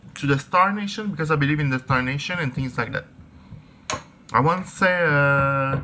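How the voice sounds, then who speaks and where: Long, frequent pauses break up the speech. The speaker has a non-native accent and a moderate pace. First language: not English. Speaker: crystal and spirituality vlogger. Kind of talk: casual vlog talk. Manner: halting, many fillers and restarts.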